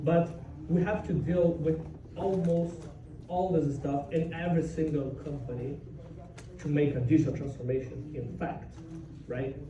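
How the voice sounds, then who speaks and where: A man with a Brazilian Portuguese accent speaks at a moderate pace in a fairly high pitch, with fairly even intonation and long, frequent pauses. Noticeable background noise and audible room echo are present. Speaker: software developer, conference speaker. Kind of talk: conference talk.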